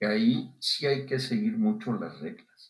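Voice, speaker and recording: At a fairly slow pace, a man speaks in a somewhat breathy voice with very wide pitch swings. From Mexico, Guanajuato. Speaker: physician and public health official. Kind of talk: interview.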